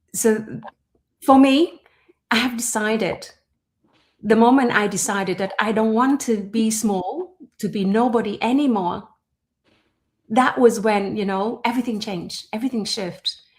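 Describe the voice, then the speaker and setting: With long, frequent pauses, a woman speaks at a moderate pace in a somewhat breathy, fairly high voice with ordinary pitch variation. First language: not English. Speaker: entrepreneur and personal development host. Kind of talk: conversational podcast monologue. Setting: livestream. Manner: halting with fillers.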